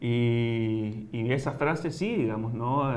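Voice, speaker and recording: A man's voice, showing ordinary pitch variation, carries audible room echo. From Chile, Santiago. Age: 30s. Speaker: writer and sociologist. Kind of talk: interview. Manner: hesitant, many fillers.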